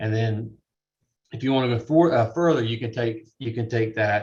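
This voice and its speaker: A man speaks at a moderate pace in a somewhat breathy, medium-pitched voice against a quiet background. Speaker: real estate appraisal instructor. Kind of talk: lecture.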